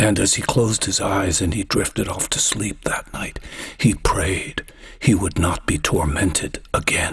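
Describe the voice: The text gets plain reading aloud. Nothing more is added to the delivery.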